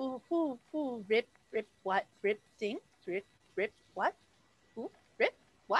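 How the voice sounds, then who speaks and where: A woman puts on a character voice, high-pitched and very slow, with long, frequent pauses. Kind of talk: tabletop game master voicing. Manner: confused, repeating questions.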